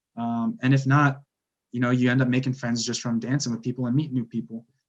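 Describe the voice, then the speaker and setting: A man with an American accent talks at a fairly quick pace in a plain, everyday voice. His pitch is medium, with ordinary variation. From US Northeast, Pennsylvania. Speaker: salsa dancer and air force officer. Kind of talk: casual chat.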